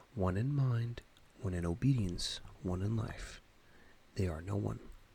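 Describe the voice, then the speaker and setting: Soft-spoken and somewhat breathy, a man talks in a calm tone at a fairly slow pace, with a fairly low pitch and ordinary pitch variation. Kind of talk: ASMR audiobook reading. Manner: soft-spoken, calm.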